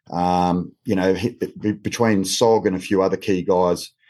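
With an Australian accent and a dark, mellow tone, a man speaks at a fairly low pitch with ordinary pitch variation against a quiet background. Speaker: former police officer. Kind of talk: panel discussion. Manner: halting, many fillers.

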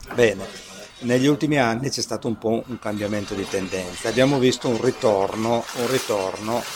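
Noticeable background noise runs under this man's voice. He talks at a moderate pace with a medium pitch and fairly even intonation. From Piedmont, Italy (Asti area). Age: 50s. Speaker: mayor. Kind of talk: interview. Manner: halting.

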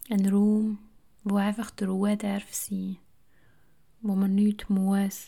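The tone is calm. The pace is very slow. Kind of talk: guided meditation. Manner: slow, calm, soft-spoken, with long pauses.

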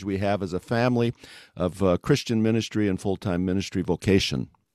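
An ordinary speaking voice from a man, fairly low in pitch with ordinary pitch variation, at a fairly quick pace against a quiet background. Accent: American. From West Africa (American missionary kid). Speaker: mission organization executive. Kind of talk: interview.

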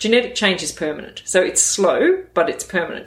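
A woman with an Australian accent. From northwest New South Wales, Australia. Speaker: sheep genetics expert, academic. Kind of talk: interview.

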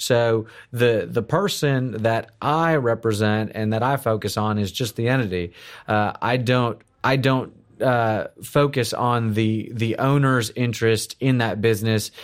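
Recorded very cleanly against a silent background, a man talks at a fairly slow pace and a medium pitch, with fairly even intonation and very even loudness. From South Florida (born in Houston, Texas). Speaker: corporate attorney. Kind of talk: interview. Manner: halting, many fillers and repeated words.

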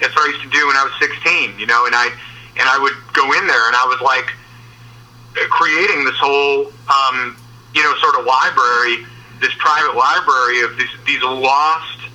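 Over noticeable background noise, a man with an American accent talks at a moderate pace in a fairly high voice with fairly even intonation. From US Midwest, Michigan. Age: 40s. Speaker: guitarist. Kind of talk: casual interview. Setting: in a car.

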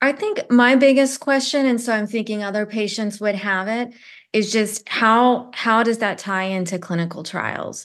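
A woman speaks at a moderate pace with ordinary pitch variation in an ordinary speaking voice against a quiet background. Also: fairly high pitch for a woman. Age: 40s. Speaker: cancer patient. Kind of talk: personal testimony.

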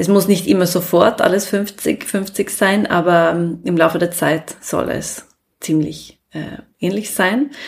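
A woman in a Swedish accent with a medium pitch, vocal fry and a very slow pace. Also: ordinary pitch variation. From Sweden. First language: Swedish (speaking German). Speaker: business consultant. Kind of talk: interview. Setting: living room. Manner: hesitant, many fillers.

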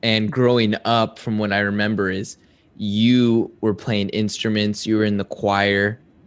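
A plain, everyday voice moves at a fairly slow pace with fairly even intonation. The background is quiet. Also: man. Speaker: podcast host. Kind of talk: casual interview chat.

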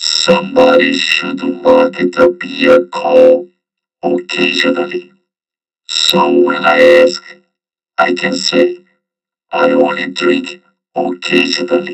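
Robotic and fairly slow, this put-on character voice moves along with long, frequent pauses. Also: man.

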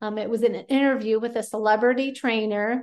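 In an American accent, a woman speaks at a moderate pace with a fairly high pitch. Her intonation is monotone and flat, and the background is quiet. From Pennsylvania. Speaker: podcast host and nutrition coach. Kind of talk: solo podcast tips talk. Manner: casual, conversational.

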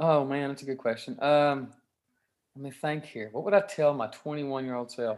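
A man with a Kentucky accent at a fairly quick pace, with big swings in loudness. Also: fairly high pitch for a man, ordinary pitch variation. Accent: Southern US (Kentucky). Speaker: rock guitarist. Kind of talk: interview.

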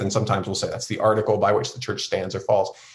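A man is speaking in a medium pitch. There is a somewhat breathy quality to his voice. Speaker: seminary professor and pastor. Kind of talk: interview conversation.

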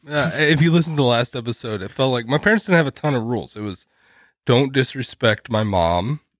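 An unremarkable speaking voice moves at a fairly quick pace with lively intonation, recorded very cleanly against a silent background with a dry, close sound and no echo. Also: man, medium pitch for a man. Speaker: podcast co-host. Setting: drinking beer while recording. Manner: jokey, teasing.

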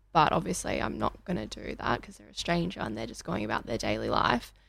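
A woman speaks with an Australian accent. The recording is very clean, with a silent background. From Australia, Melbourne. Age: 20s. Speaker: young entrepreneur and yoga studio worker. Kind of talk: asking questions in an interview. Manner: hesitant with many fillers.

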